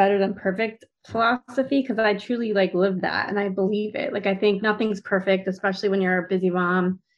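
A woman in a plain, everyday voice, medium in pitch, fairly quick with hardly any pauses and fairly even intonation. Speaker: podcaster and coaching student.

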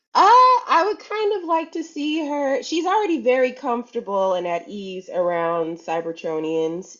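A woman talks at a moderate pace. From US West Coast, Compton, California. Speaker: voice actor. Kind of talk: casual interview. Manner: animated.

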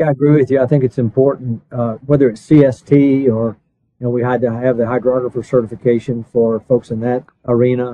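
A man speaks with an American accent at a fairly quick pace. His medium pitch stays monotone and flat. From US East Coast. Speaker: podcast host. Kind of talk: interview.

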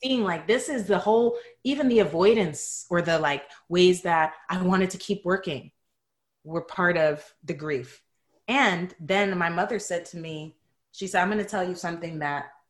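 A woman with an American accent talks at a moderate pace in a normal speaking voice. Her pitch is fairly low, with ordinary pitch variation. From New York City (Bronx). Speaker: psychotherapist and yoga teacher. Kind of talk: casual interview chat. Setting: podcast interview.

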